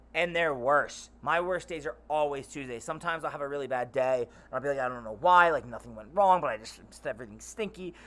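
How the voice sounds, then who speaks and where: An animated voice with an American accent talks at a very fast pace with hardly any pauses, its tone bright and sharp. Pitch variation is ordinary, loudness swings widely, and the recording is very clean with a silent background. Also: man, fairly high pitch for a man. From Baltimore area, US Mid-Atlantic. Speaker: streamer. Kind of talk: casual live stream chat. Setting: live stream. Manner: animated, rambling.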